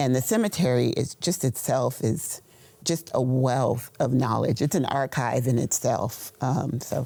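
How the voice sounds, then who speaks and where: In an American accent, the speaker talks at a fairly slow pace with a dark, mellow tone, ordinary pitch variation and very even loudness. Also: woman, very deep, low pitch for a woman. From Austin, Texas. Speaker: local writer. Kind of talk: interview.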